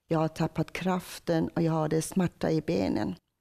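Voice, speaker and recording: A woman speaks with a Persian accent at a fairly slow pace. The background is quiet. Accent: Persian accent in Swedish. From Iran. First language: Persian (speaking Swedish). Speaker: church member telling conversion story; interviewee. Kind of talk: testimony; interview answer. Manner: halting, with many hesitations. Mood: emotional personal testimony. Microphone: lapel.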